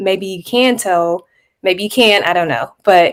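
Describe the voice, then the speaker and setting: An unremarkable speaking voice with ordinary pitch variation comes through in an American accent. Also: woman. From Texas. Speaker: family history platform team member. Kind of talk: casual panel discussion. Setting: live stream.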